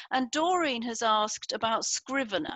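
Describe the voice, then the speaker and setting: An ordinary speaking voice at a moderate pace, with a dry sound that has no echo and a quiet background. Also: woman. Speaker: book coach and publisher; book coach. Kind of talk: online interview. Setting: video call. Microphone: headset.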